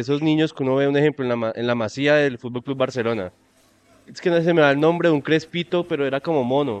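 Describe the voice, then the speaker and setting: A man's fairly high voice races along at a very fast pace, its pitch varying in an ordinary way. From Colombia, Tuluá (Valle del Cauca). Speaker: podcast co-host. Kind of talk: casual chat.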